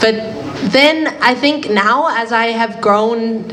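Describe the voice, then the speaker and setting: A woman is heard amid noticeable background noise and audible room echo. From Finland, later New Zealand. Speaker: panelist. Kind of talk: panel discussion. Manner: halting.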